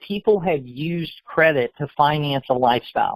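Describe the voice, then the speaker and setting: A man talks at a moderate pace in a fairly high pitch with ordinary pitch variation, an ordinary speaking voice. The sound is dry and close with no echo. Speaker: financial program presenter. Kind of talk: sales pitch.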